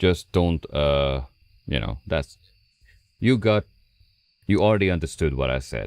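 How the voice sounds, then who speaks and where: A man with a very deep, low voice and vocal fry speaks at a fairly slow pace, leaving long, frequent pauses. His intonation is lively, and the sound is dry and close with no echo. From Hungary. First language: Hungarian. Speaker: gaming streamer. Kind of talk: live stream chat.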